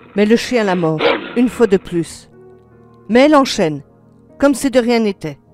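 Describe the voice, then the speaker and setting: The speaker talks at a moderate pace with long, frequent pauses while music plays in the background. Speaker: storyteller. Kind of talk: horror story narration.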